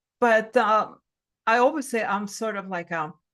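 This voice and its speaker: A woman speaks against a quiet background. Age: 60s. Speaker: spiritual life coach. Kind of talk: casual chat.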